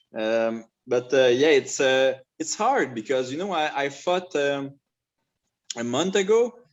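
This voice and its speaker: With a French accent, a man talks at a fairly slow pace, his fairly high voice carrying lively intonation. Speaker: mixed martial arts fighter. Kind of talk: interview. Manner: halting.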